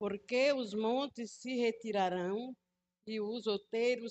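Against a quiet background, a woman with a fairly high pitch talks at a very slow pace with ordinary pitch variation. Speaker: congregant. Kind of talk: reading aloud.

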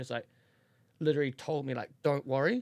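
On a very clean recording with a silent background, a man with a New Zealand accent speaks at medium pitch in a monotone, flat way, the sound dry and close with no echo. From New Zealand, Auckland. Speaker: podcast guest, host's best friend. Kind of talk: casual chat, personal story.

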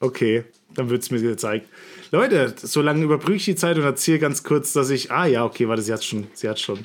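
A man with an unremarkable speaking voice talks at a fairly quick pace. His pitch is medium, with ordinary variation. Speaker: podcast co-host, former YouTuber. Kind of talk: casual chat. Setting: remote call with headset. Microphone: new headset.

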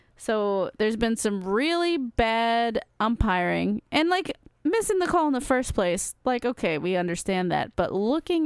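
Her pitch swings very widely in a playful tone at a fairly slow pace. The woman's sound is dry and close, with no echo. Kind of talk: casual chat. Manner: joking, playful.

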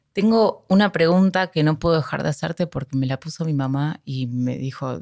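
The recording is very clean, dry and close, with a silent background and no echo. A woman with a very deep, low pitch talks at a moderate pace with ordinary pitch variation. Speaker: podcast host. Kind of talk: interview.

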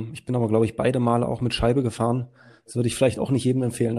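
A man talks at a very fast pace in a somewhat breathy, dark and mellow voice of medium pitch, his intonation monotone and flat. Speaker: podcast co-host. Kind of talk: casual interview.

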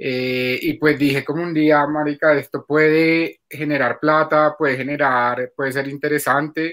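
Over a silent background in a very clean recording, a man with a fairly high pitch speaks fairly slowly in a monotone, flat intonation. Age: 30s. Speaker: adult content creator. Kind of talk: interview.

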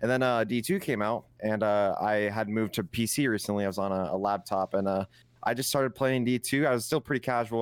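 Moderately paced and fairly even in intonation, the man has an unremarkable speaking voice pitched fairly low. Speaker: Destiny 2 streamer and clan member. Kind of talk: casual podcast chat about gaming.

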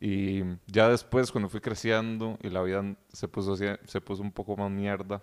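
Man with a Costa Rican accent, fairly low in pitch, at a moderate pace with monotone, flat intonation. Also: dry, close sound with no echo. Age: young. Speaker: podcast guest. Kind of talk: casual chat.

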